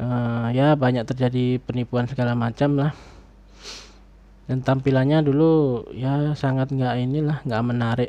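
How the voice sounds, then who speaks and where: A soft-spoken man talks at a fairly slow pace in a medium pitch, his intonation monotone and flat and his tone dark and mellow, over a quiet background. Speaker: YouTuber reviewing online shopping. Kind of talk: casual personal review. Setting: home recording late at night.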